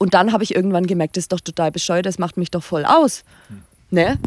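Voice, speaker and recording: This woman speaks at a very fast pace. Her pitch sits in the medium range. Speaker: blogger. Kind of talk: casual chat. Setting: recorded at guest's home.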